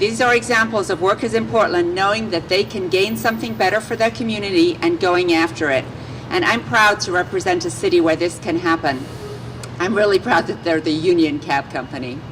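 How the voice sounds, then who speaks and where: A woman speaks at a fairly quick pace with a fairly low pitch and very wide pitch swings. Noticeable background noise runs underneath. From England. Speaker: city politician. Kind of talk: press conference speech.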